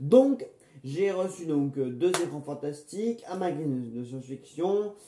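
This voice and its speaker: A man with a fairly high voice speaks fairly slowly with lively intonation over noticeable background noise. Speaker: film review YouTuber. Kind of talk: casual unboxing vlog. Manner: hesitant, many fillers and repetitions.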